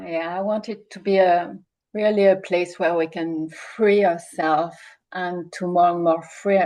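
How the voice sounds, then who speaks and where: Speaking with a strong French accent, a woman has a fairly low pitch and a dark, mellow tone. Her intonation is monotone and flat, and her pace is very slow. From France. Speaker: coach. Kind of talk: webinar hosting. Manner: halting.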